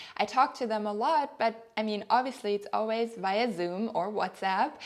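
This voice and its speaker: Delivery here is moderate in pace. A German accent colors the speech. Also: woman, fairly high pitch for a woman, ordinary pitch variation. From Germany. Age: 30s. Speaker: lifestyle vlogger. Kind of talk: personal vlog monologue. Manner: hesitant, with fillers.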